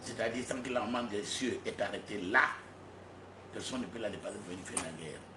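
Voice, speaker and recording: Amid noticeable background noise and audible room echo, a man with a medium-pitched voice talks at a fairly quick pace broken by long, frequent pauses. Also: ordinary pitch variation. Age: 60s. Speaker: self-proclaimed spiritual leader. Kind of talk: press conference. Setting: press conference with journalists.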